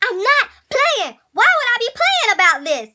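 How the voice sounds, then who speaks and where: A woman in a put-on character voice sounds squeaky, with an extremely high pitch, very wide pitch swings and a moderate pace. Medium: solo performance.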